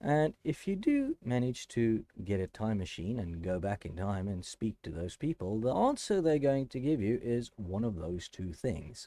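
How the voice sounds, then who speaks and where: With a South African accent, a man speaks in a dark, mellow tone with very wide pitch swings, over a quiet background with a dry, close sound and no echo. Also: medium pitch for a man, moderate pace. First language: Afrikaans. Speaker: math educator, YouTuber. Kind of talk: educational talk to camera. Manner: halting, with self-corrections.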